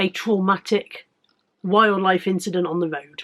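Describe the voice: At a fairly slow pace, a woman talks at a medium pitch with a fairly bright tone and fairly even intonation.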